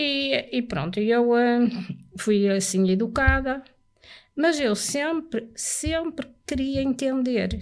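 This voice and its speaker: A woman talks at a very slow pace in a high pitch, with ordinary pitch variation. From Portugal, Porto. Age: 70s. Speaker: churchgoer giving religious testimony. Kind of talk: testimony in podcast interview.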